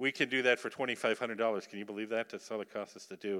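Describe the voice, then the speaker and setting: The man has an American accent and a bright, sharp tone. His intonation stays fairly even. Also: very clean recording, silent background. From Upper Michigan, US. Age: old. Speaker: missionary. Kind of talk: sermon. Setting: church.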